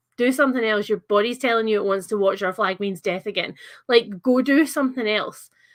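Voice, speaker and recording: Speaking fairly quickly in a Scottish accent, a woman uses ordinary pitch variation. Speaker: livestreamer chatting about books. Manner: casual, chatty, uses fillers.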